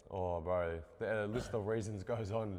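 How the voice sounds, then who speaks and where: A man with an Australian accent is heard against noticeable background noise. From Australia, western Sydney. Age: 20s. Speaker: podcast co-host, clothing brand owner, tradesman. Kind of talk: casual chat.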